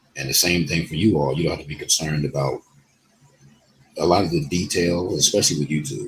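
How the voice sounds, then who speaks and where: Noticeable background noise runs under a man who talks fairly quickly. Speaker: YouTuber and online DJ promoting his business groups. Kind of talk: casual vlog talk to camera.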